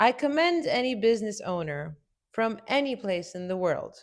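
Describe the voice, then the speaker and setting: On a very clean recording with a silent background, a woman with a Romanian accent speaks fairly slowly at medium pitch. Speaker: business consultant, entrepreneur. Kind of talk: video essay commentary.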